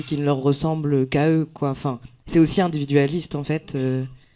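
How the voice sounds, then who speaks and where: A man's dark, mellow voice holds a monotone, flat intonation at a moderate pace. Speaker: comedian. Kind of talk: round table discussion. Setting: stage with live audience. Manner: casual, hesitant.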